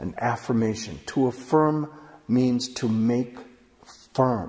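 Calm in tone, a man with a medium pitch speaks at a very slow pace, somewhat breathy, with ordinary pitch variation. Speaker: author and workshop teacher. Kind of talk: online course lecture. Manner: calm, explanatory, reflective. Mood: calm, warm, earnest. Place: studio.

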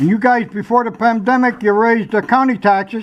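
A man talks at a fairly quick pace in an American accent. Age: 80s+. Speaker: public commenter. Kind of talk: public comment at a government meeting. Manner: agitated, insistent.

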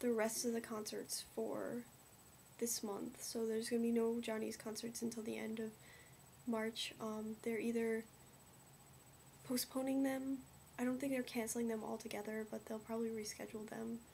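A woman's monotone, flat delivery with long, frequent pauses over light background noise. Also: moderate pace. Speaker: vlogger. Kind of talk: casual vlog chat. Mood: somber, concerned. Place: home room. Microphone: webcam.

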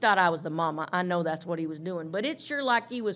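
A woman's bright, sharp voice at a very fast pace, with very wide pitch swings. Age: 60s. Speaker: Bible teacher. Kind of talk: sermon. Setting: teaching room with audience, livestreamed. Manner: seated, in some pain.

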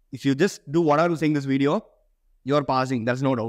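The background is quiet as a man talks. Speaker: medical student YouTuber. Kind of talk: tutorial. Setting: to camera. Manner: animated. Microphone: lapel.

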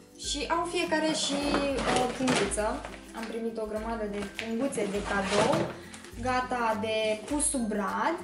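With clear music behind her, a woman talks at a very slow pace with ordinary pitch variation. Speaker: beauty vlogger. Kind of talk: casual unboxing vlog chat. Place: home room.

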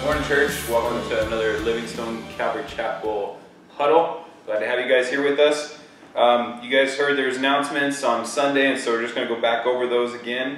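Over faint background music and audible room echo, a man talks at a fairly quick pace in a monotone, flat intonation. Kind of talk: church announcements. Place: church. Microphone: camera far.

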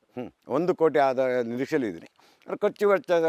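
A man with an unremarkable speaking voice and lively intonation. The sound is dry and close, with no echo. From rural Karnataka, India. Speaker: farmer. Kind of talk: interview.

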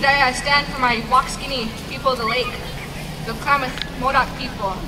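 A woman speaks over noticeable background noise. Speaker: speaker. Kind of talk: public speech. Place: open country. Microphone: pa.

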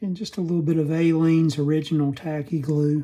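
A man speaks in a dark, mellow tone with a slightly husky edge and little pitch movement.

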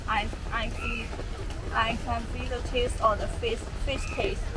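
Against loud background noise, a woman talks at a very slow pace. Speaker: food vlogger. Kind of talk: casual vlog chat. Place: street.

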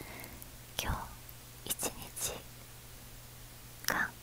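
Soft-spoken and whispering, a woman is heard in a dry sound with no echo over light background noise. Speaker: ASMR creator. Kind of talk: soft ASMR chat. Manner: soft close-mic whisper. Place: home room. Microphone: earbuds.

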